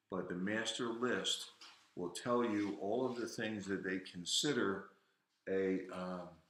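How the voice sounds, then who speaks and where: A man with an American accent, fairly low pitch, very slow pace and fairly even intonation, in audible room echo. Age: 70s. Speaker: livestream host, veteran. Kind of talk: casual livestream talk. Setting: home garage livestream. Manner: halting. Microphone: echo in the garage.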